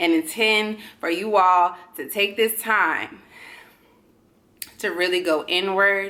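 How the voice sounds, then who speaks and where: The speaker has an animated tone that is bright and sharp. The pace is fairly slow. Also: woman. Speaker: astrology reader. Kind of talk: tarot and astrology reading monologue.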